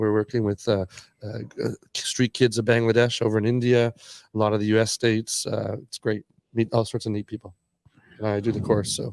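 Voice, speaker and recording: With a Canadian accent, a man speaks at a fairly quick pace in a fairly low voice. The very clean recording is dry and close, with no echo and a silent background. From Canada. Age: 60s. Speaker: skateboarder and entrepreneur. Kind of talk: casual podcast interview. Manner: animated storytelling.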